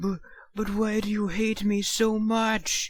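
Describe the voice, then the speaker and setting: A put-on character voice, pitched fairly high. It speaks at a fairly slow pace with monotone, flat intonation. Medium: read story.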